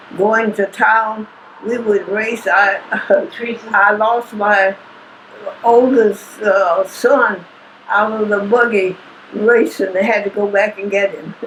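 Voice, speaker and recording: A woman's fairly high voice, very slow and fairly even in intonation, over noticeable background noise. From Kentucky. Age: 80s+. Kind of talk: interview answer.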